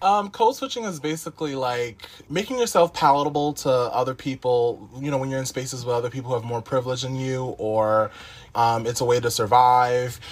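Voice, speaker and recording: A man with an American accent talks at a fairly quick pace in a medium pitch with ordinary pitch variation. It is a plain, everyday voice. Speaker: college alum. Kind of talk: interview.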